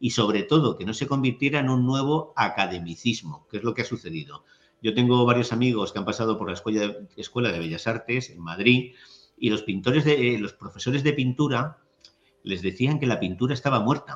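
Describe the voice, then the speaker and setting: A man speaks in a plain, everyday voice at a medium pitch. His intonation is lively and his pace moderate. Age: 60s. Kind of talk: interview conversation.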